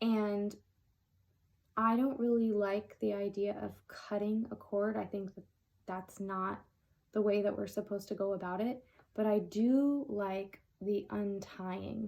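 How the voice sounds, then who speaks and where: A woman speaks at a medium pitch and a fairly slow pace, with fairly even intonation. She leaves long, frequent pauses. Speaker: tarot reader. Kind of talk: tarot reading.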